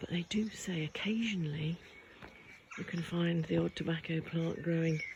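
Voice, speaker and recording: Soft-spoken, this voice moves along at a moderate speed. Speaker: local history vlogger. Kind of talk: casual walking vlog narration.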